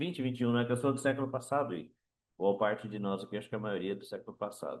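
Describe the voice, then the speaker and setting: A man speaks at a medium pitch. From Brazil. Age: 60s. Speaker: author. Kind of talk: book talk. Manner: halting.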